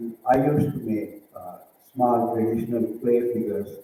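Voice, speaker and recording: This man has a medium pitch and speaks with an Indian accent. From southern India. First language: a southern Indian language. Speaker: visual artist. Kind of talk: presentation. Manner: halting, many fillers.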